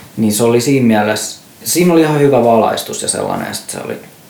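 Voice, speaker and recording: Over noticeable background noise and audible room echo, a man talks at a very fast pace in a medium-pitched voice with ordinary pitch variation. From Finland, Järvenpää. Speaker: experimental musician. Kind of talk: casual chat. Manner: halting.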